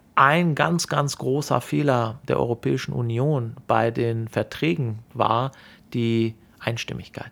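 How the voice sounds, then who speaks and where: The speech moves at a very slow pace with ordinary pitch variation, on a very clean recording with a silent background. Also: man. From Germany, Sauerland (from Iran at age 8). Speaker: bank executive. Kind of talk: interview. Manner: hesitant with frequent fillers.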